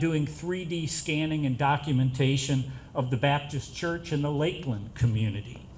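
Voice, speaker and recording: A man talks at a moderate pace in a fairly high pitch, somewhat breathy, with ordinary pitch variation. Audible room echo surrounds his voice. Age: 60s. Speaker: professor. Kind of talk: speech at reception.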